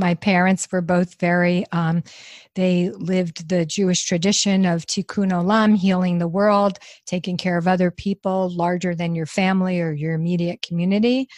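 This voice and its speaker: In an American accent, a woman with an ordinary speaking voice talks at a medium pitch and a moderate pace with fairly even intonation, the sound dry and close with no echo in a very clean recording with a silent background. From New York. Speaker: nonprofit founder. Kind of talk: interview.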